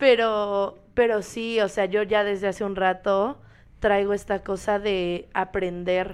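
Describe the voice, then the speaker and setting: In a very clean recording with a silent background, a woman speaks very slowly at a medium pitch with flat, monotone intonation. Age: 20s. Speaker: podcast co-host, dancer. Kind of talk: casual chat.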